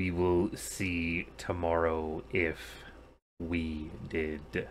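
A put-on character voice from a man, very deep and low, at a very slow pace. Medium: actual play. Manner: clipped, formal, stern.

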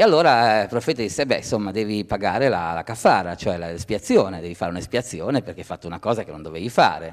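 A man's fairly low voice at a very fast pace with hardly any pauses, over a quiet background. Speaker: speaker. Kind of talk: panel debate. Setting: theatre stage with audience. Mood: amused, storytelling. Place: stage. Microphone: handheld.

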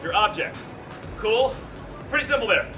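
A man's raised, projected voice over clear music in the background. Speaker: fitness coach. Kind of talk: workout briefing to class. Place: gym. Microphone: camera far.

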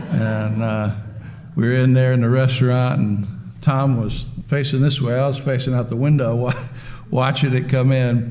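The voice moves at a moderate pace with fairly even intonation. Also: man. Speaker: Baptist preacher and pastor. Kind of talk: sermon. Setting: church. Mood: warm, humorous opening. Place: church. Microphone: podium.

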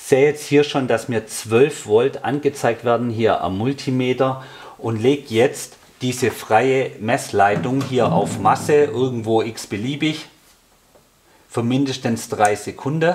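The voice moves at a fairly slow pace with ordinary pitch variation and a slightly mellow tone. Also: man, medium pitch for a man.

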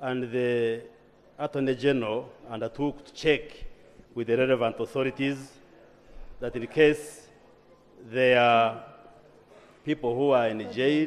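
Pausing long and often, a man speaks at a fairly slow pace with fairly even intonation. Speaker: government minister in parliament. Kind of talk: parliamentary response. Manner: formal, measured. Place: hall. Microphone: podium.

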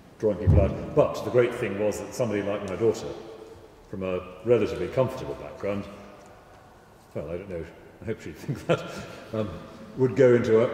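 A man's fairly low voice at a very fast pace, ordinary pitch variation, light background noise and audible room echo. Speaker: guest. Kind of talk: interview answer. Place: church. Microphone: handheld.

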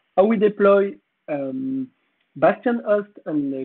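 Speaking with a French accent, a man lets his pitch vary in an ordinary way. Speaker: conference speaker. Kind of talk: conference talk. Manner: halting.

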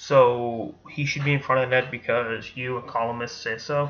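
Light background noise sits behind a man talking at a moderate pace. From Boston area, Massachusetts. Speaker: sports commentator. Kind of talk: casual sports commentary. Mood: casual, opinionated. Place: home room. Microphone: webcam.

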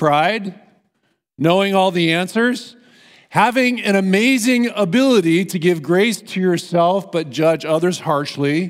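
A man talks at a very slow pace, and the background is quiet. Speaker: preacher. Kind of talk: sermon. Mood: humorous, light. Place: church. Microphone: headset.

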